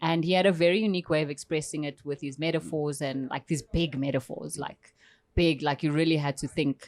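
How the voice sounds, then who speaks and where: In a South African accent, a woman talks at a fairly quick pace with a very deep, low pitch and fairly even intonation, the sound dry and close with no echo. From South Africa, Eastern Cape. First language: Xhosa. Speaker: poet and performance artist. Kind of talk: podcast interview.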